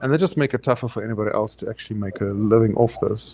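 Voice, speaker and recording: A man speaks very fast with a South African accent. His medium-pitched voice keeps a fairly even intonation. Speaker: photographer. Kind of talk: interview.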